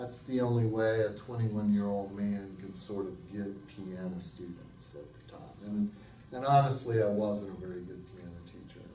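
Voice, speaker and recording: Amid noticeable background noise and audible room echo, a man speaks at a fairly low pitch and a moderate pace. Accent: American. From US South, Alabama. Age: 50s. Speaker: music professor. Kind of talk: lecture.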